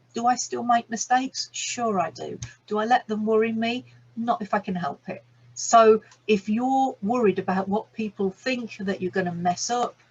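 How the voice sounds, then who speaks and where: A woman speaks with a fairly high pitch, somewhat breathy, with ordinary pitch variation. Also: moderate pace. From England, Birmingham. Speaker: business coach and energy healer. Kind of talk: online masterclass talk. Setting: video call recording.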